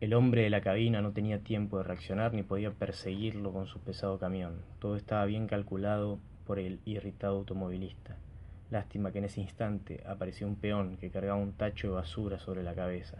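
In a deadpan tone, a man with a fairly low voice talks at a fairly quick pace, his intonation monotone and flat. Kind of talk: literary audiobook reading. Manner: measured, formal narrator's delivery, dryly ironic and deadpan.

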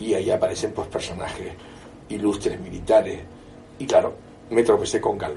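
A man speaks at a moderate pace, taking long, frequent pauses, with noticeable background noise throughout. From Canary Islands. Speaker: historian. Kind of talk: interview. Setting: bookshop.

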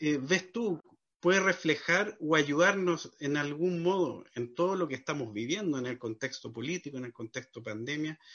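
Fairly high in pitch, a man talks at a moderate pace with lively intonation. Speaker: podcast host. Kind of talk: interview conversation. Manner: halting.

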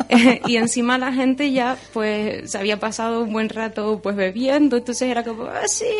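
A high-pitched woman at a moderate pace, with ordinary pitch variation and noticeable background noise. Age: young. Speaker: storyteller and marine biologist. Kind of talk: radio interview; storytelling performance. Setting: radio studio.

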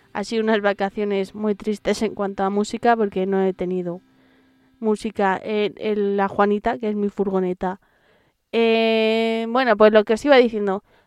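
A woman talks at a moderate pace with monotone, flat intonation in a dry, close sound with no echo. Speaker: metal podcast host. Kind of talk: casual radio-style presenting.

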